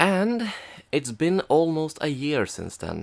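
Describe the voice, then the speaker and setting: A man speaks quietly at a fairly slow pace. His fairly high pitch swings very widely. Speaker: film reviewer. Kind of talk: comedic review narration. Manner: quiet, subdued.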